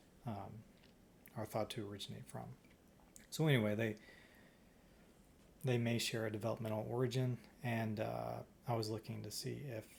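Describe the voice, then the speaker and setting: A man speaks at a medium pitch with vocal fry. His intonation stays fairly even. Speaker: stem cell researcher. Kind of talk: research vlog. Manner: slow.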